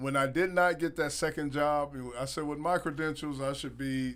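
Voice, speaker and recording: A man with an American accent, at a moderate pace and with fairly even intonation. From Ohio, US (Dayton). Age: 60s. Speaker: former football executive and musician. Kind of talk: interview. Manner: halting.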